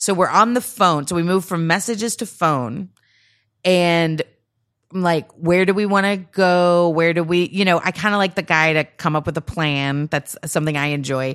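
A woman uses an ordinary speaking voice at a fairly low pitch, with ordinary pitch variation. She talks at a moderate pace against a quiet background. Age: 40s. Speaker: comedian. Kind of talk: casual chat.

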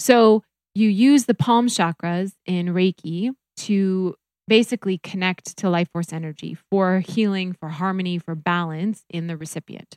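An ordinary speaking voice from a woman with an American accent, medium pitch, ordinary pitch variation and a fairly slow pace, in a very clean recording with a silent background and a dry, close sound with no echo. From US Midwest (North Dakota). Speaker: reiki practitioner. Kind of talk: casual chat; guided meditation.

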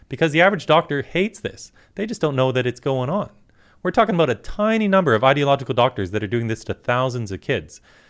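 On a very clean recording with a silent background, a man at medium pitch moves at a fairly quick pace through very wide pitch swings. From Canada, British Columbia. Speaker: activist. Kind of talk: political talk show discussion.

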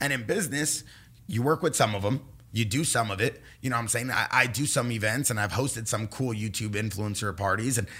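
A man with an American accent at medium pitch, bright and sharp in tone, animated, fairly quick, with ordinary pitch variation. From Los Angeles, California. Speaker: pro paintballer and entrepreneur. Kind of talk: casual chat.

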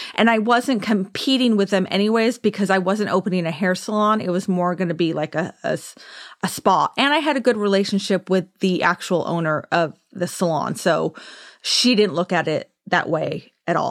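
A woman with a Southern Californian accent, medium pitch, ordinary pitch variation and a moderate pace. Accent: Southern California American. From US West Coast, Orange County, California. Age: 40s. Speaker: esthetician and podcast host. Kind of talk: casual monologue. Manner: chatty, often laughing.

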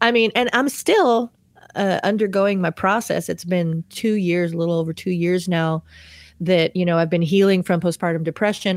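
With a normal speaking voice, a woman of fairly low pitch talks at a moderate pace with ordinary pitch variation, recorded very cleanly against a silent background. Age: 30s. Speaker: worship leader. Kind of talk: testimony.

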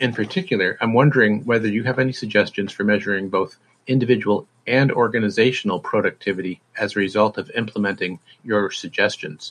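The speaker talks at a very fast pace with an American accent. Pitch variation is ordinary. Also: man, medium pitch for a man. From Massachusetts. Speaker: software help desk engineer. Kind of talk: recorded listener question.

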